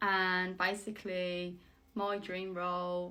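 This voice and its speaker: A woman with a West Midlands accent speaks at a fairly low pitch in a bright, sharp tone, with audible room echo. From West Midlands, England. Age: 20s. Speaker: vlogger, aspiring actress. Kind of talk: casual vlog monologue.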